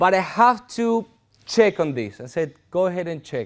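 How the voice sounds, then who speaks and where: A man with a Spanish accent and a high pitch, at a fairly slow pace, on a very clean recording with a silent background. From Argentina. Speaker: pastor. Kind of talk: sermon.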